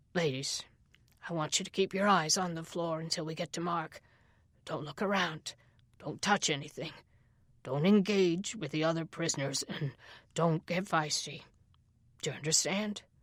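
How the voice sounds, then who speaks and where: Doing a raspy put-on character voice, a man speaks at a high pitch in a weary tone, with fairly even intonation, a moderate pace and long, frequent pauses, in a very clean recording with a silent background. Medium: read story. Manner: gruff, weary.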